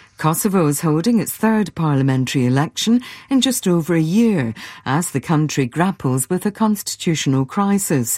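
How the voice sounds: Speaking with few pauses, a woman uses a low pitch and a slightly mellow tone. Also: lively intonation, moderate pace.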